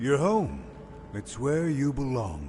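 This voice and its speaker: Against clear background noise, a man puts on a character voice at a medium pitch. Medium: video game. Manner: sweet yet unsettling.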